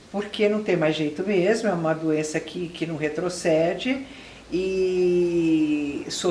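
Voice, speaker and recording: Speaking at a very slow pace with a fairly low pitch and ordinary pitch variation, a woman is heard with audible room echo. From Brazil, São Paulo. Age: 60s. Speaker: retired public relations professional with Alzheimer's. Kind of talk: interview testimony.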